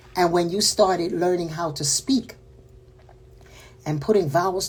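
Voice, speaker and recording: Somewhat breathy and dark, mellow in tone, a woman speaks fairly slowly in a Panamanian accent. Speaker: spiritual teacher. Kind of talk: spiritual talk. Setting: livestream.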